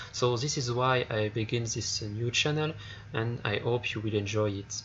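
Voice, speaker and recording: The voice has a French accent. It moves at a moderate pace. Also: man. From France. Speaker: gaming video creator. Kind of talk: game review. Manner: halting.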